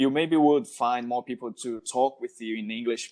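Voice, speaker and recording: A man with a Brazilian Portuguese accent speaks at a moderate pace, his medium pitch held in a monotone, flat intonation. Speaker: podcast host. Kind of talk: casual interview chat.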